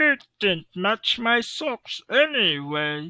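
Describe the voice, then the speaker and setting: In a very clean recording with a silent background, a put-on character voice at a fairly high pitch moves very slowly through very wide pitch swings. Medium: read story. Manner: cheerful, good-natured.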